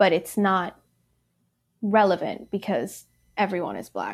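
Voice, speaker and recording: A woman's medium-pitched voice with vocal fry, fairly even intonation and a very slow pace, on a very clean recording with a silent background. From Michigan, born in Ethiopia. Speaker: bike event organizer. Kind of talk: interview.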